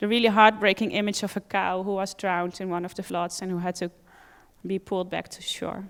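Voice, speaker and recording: The speech is monotone and flat, at a moderate pace, in a Dutch accent. The recording is very clean, with a silent background. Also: woman. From Netherlands. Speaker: animal rights campaigner. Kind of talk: conference talk.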